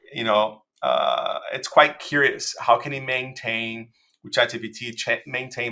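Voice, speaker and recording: Recorded very cleanly against a silent background, a man with a Portuguese accent speaks at a moderate pace. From Brazil. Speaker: designer. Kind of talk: interview. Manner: halting, many fillers and repetitions.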